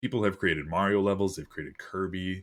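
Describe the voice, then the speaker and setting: On a very clean recording with a silent background, a man with a very deep, low voice speaks at a fairly quick pace. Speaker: gaming podcast host. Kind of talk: casual chat. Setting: livestream. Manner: animated.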